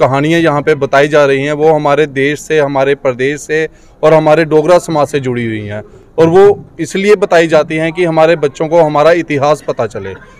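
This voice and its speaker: Ordinary pitch variation marks a man speaking at a fairly slow pace. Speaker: guest. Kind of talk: press interview statement. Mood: positive, promotional. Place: hall. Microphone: handheld.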